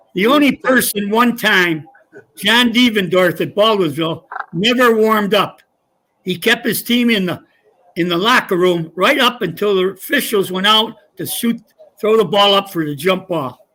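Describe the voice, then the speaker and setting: With a bright, sharp tone, a man uses a raised, projected voice, high in pitch, at a moderate pace with ordinary pitch variation. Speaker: retired high school coach. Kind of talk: casual interview. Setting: live show at golf club.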